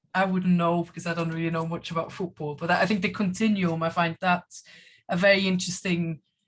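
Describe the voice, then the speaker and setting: Her voice is fairly low and somewhat breathy. The woman's intonation is monotone and flat. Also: fairly quick pace. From Switzerland. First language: Swiss German. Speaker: German language teacher. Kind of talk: online panel discussion. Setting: video call.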